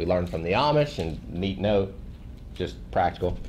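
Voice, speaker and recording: There is audible room echo around a man with a Tennessee accent. His intonation is lively. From Tennessee, rural. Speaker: missionary and podcaster. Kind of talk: testimony to a church group. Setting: small group gathering. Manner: casual, conversational.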